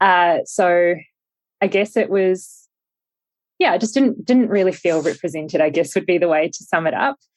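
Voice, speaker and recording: A woman speaks at a moderate pace with a New Zealand accent, her pitch medium and its variation ordinary. She takes long, frequent pauses against a quiet background. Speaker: media startup founder. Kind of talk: interview.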